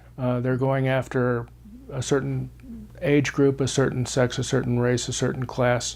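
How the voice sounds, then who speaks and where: In an American accent, a man with a medium pitch speaks at a fairly slow pace. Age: 60s. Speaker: former newspaper editor, political leadership institute director. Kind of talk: interview. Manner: hesitant, many fillers.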